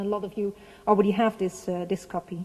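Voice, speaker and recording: A woman's somewhat breathy voice, fairly high in pitch, with a Dutch accent and fairly even intonation. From Netherlands. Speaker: heritage organization representative. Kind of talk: conference speech. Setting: seminar with audience. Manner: halting.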